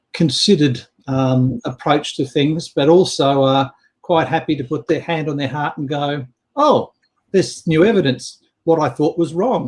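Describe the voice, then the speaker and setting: Speaking at a moderate pace, a man with an Australian accent sounds somewhat breathy, with a fairly high pitch and ordinary pitch variation. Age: 60s. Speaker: business coach. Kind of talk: casual chat.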